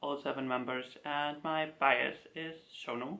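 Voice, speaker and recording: A man with a slight German accent and a fairly high pitch, at a fairly slow pace. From Germany. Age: 20s. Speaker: K-pop collector YouTuber. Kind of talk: casual talk video to camera.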